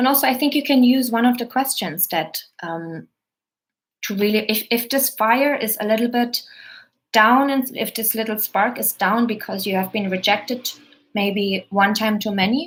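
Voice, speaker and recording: A woman with a German accent speaks at a moderate pace with a fairly high, somewhat breathy voice. Her pitch varies in an ordinary way, and the recording is very clean with a silent background. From Germany. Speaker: actor and coach. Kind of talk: live stream Q&A. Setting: live stream video.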